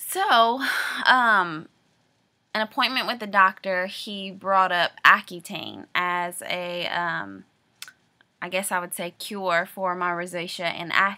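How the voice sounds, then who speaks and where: In a Louisiana accent, a woman speaks at a very slow pace with medium pitch, fairly even intonation and a bright, sharp tone. Her loudness swings widely, and the recording is very clean with a silent background. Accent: Louisiana Southern. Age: 20s. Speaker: video diarist. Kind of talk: personal video diary. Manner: hesitant, many filler words.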